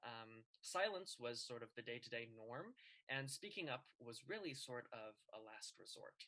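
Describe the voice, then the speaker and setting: Speaking at a fairly slow pace with a General American accent, a man uses a medium pitch, lively intonation and a bright, sharp tone. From Colorado, US. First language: Chinese. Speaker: student debater. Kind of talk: class presentation.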